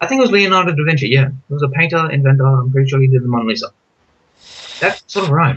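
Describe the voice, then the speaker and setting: Mumbling at a very fast pace, a man talks with fairly high pitch. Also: ordinary pitch variation. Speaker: youtuber. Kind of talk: casual chat. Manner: fast, mumbling.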